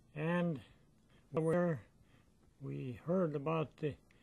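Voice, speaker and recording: A man speaks with an Upper Midwest accent. His tone is dark and mellow, with ordinary pitch variation. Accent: Upper Midwest American. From northern Minnesota. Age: 80s+. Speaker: war veteran. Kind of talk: interview answer.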